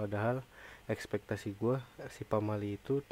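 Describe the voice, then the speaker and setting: Fairly low-pitched and flat in intonation, a man's voice has a dark, mellow tone and a dry sound with no echo. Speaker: gamer youtuber. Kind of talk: casual gaming commentary. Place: home room.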